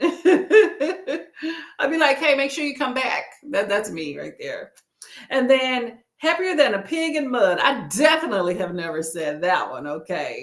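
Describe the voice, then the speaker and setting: With an animated tone and a slight Southern US accent, a woman speaks at a fairly slow pace. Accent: slight Southern inflection. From Texas. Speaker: booktuber livestream host. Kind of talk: casual livestream chat. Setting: live stream.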